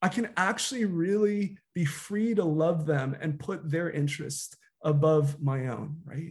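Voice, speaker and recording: In a plain, everyday voice, a man with an American accent talks at a fairly slow pace, pitched fairly high with ordinary pitch variation. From US. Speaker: guest pastor, youth director. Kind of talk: sermon. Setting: video call.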